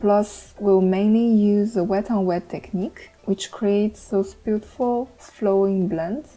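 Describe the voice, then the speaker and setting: A woman speaks with a non-native accent. Her intonation stays fairly even. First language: not English. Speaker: art tutorial creator. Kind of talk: tutorial. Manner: some hesitations and fillers.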